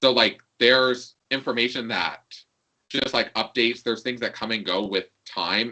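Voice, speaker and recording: Speaking at a moderate pace, a man has a bright, sharp tone at medium pitch. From New York. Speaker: LGBTQ program coordinator. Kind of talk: casual interview chat. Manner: frequent 'like' fillers.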